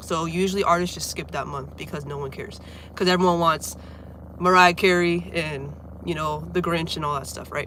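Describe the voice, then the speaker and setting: Amid noticeable background noise, a woman with an American accent talks at a fairly quick pace and a fairly low pitch. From Florida, near Orlando. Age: 20s. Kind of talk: casual livestream chat. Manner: casual, filler-heavy.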